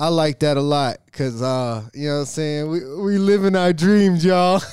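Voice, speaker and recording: A man with an unremarkable speaking voice talks at a fairly high pitch and a moderate pace. He uses ordinary pitch variation and hardly any pauses. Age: 30s. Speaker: podcast host, videographer and entrepreneur. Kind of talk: casual chat.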